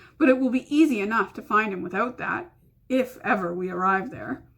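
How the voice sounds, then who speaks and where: Using a raspy, put-on character voice, a woman talks at a fairly quick pace with a fairly high pitch. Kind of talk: bedtime story. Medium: read story.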